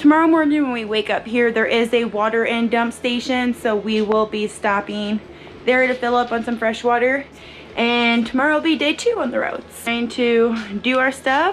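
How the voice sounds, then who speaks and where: A woman talks at a moderate pace in a high pitch with ordinary pitch variation. Light background noise sits behind her. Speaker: travel vlogger. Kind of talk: casual vlog chat. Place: home room. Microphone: phone near.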